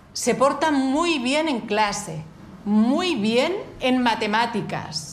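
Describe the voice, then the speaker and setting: A woman with an Asturian accent and a fairly high pitch speaks very slowly with very wide pitch swings, amid audible room echo and noticeable background noise. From Asturias. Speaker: journalist, radio contributor. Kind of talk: radio talk.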